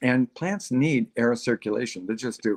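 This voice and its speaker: In an American accent, a man with an unremarkable speaking voice and medium pitch talks at a fairly slow pace, the sound dry and close with no echo. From Texas. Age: 60s. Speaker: gardening expert. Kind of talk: casual interview chat on a livestream. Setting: live online stream.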